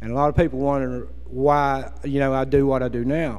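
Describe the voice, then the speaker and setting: With noticeable background noise behind him, a man with an American accent talks at a moderate pace. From West Virginia, Appalachia. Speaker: former coal miner, environmental activist. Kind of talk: speech to an audience.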